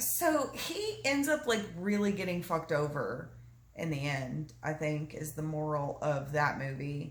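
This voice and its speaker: Speaking at a fairly slow pace in a Southern US accent, a woman sounds animated, with audible room echo and noticeable background noise. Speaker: mother retelling a film story. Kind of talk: casual storytelling.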